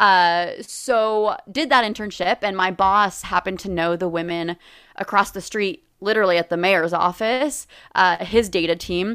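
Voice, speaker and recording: A normal speaking voice with an American accent, a moderate pace and ordinary pitch variation. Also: woman. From US West Coast, Los Angeles. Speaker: nonprofit deputy director. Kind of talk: interview.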